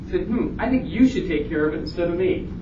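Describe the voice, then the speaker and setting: Room echo is audible, along with noticeable background noise. The man's pitch is high, and his pitch varies in an ordinary way. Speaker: conference presenter, college administrator and faculty. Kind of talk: conference presentation. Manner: fast.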